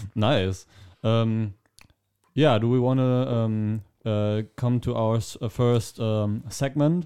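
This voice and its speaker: The voice has a dark, mellow tone and a German accent, with ordinary pitch variation. It moves at a very slow pace with long, frequent pauses. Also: man, medium pitch for a man. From Germany. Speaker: podcast host. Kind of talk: casual chat.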